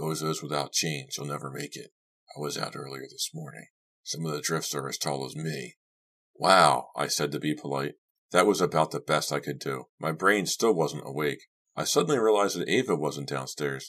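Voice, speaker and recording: A man with a very deep, low voice and vocal fry speaks at a moderate pace with ordinary pitch variation. His tone is bright, sharp and excited, with big swings in loudness. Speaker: audiobook narrator. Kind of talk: audiobook narration of a horror story, read aloud. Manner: acts out characters in dialogue, with excited tones for Doug and gruff warnings for Lou.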